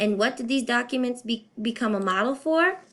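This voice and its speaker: A woman talks at a fairly quick pace with lively intonation and a fairly high pitch. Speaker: elementary school teacher. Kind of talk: lecture. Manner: fast.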